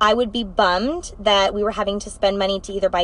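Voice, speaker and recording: At a very fast pace, a woman speaks in an animated tone at a medium pitch. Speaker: direct sales team leader. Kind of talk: live video chat. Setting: in a car.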